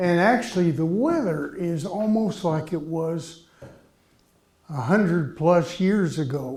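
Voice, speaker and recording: Speaking at a very slow pace in a Midwestern American accent, a man uses a high pitch with ordinary pitch variation. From Columbia, Missouri. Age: 80s+. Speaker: artist. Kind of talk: speech to audience.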